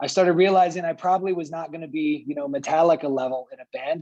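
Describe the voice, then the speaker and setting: This speaker talks at a fairly quick pace with an American accent. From US. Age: 40s. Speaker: diplomat. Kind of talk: panel talk.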